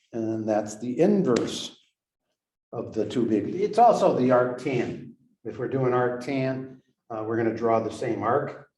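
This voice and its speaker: A man at medium pitch with a Western Massachusetts accent, fairly even intonation, and a fairly slow pace. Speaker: math teacher. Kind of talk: lecture. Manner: halting.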